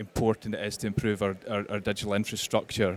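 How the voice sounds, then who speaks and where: Fairly low in pitch, a man with a West Highland Scottish accent speaks at a fairly quick pace. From Scotland, Kintyre. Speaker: panelist on rural tech connectivity. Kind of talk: panel discussion. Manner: hesitant, many repeated words.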